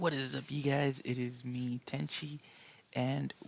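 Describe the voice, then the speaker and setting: Soft-spoken, a man talks at a fairly slow pace. His pitch is medium and his intonation fairly even. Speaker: gaming youtuber. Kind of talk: let's play gaming commentary. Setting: at home at night.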